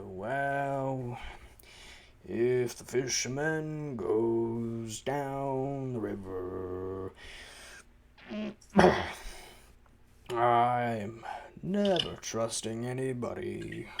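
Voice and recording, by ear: Using a put-on character voice at a medium pitch, a man speaks at a very slow pace, with long, frequent pauses and big swings in loudness.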